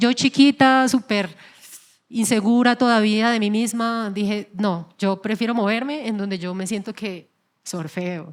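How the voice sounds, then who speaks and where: A woman with a normal speaking voice talks at a fairly slow pace in a fairly high pitch, with ordinary pitch variation, on a very clean recording with a silent background. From Colombian llanos (Yopal). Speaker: singer. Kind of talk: interview. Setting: stage with audience.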